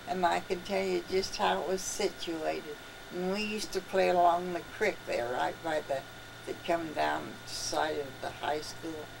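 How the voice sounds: Amid clear background noise, a woman with a fairly low pitch and vocal fry talks at a fairly slow pace in fairly even intonation.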